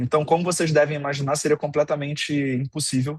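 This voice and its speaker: A man speaks at a fairly high pitch in a somewhat breathy voice. The sound is dry and close, with no echo. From Brazil. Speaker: innovation manager at a tech company. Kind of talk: online lecture.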